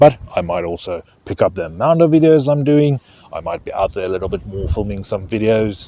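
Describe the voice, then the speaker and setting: With a South African accent, a man speaks at a moderate pace in a dark, mellow tone with lively intonation. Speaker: fishing YouTuber. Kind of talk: casual vlog talk to camera. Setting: outdoors by a lake, stormy weather coming.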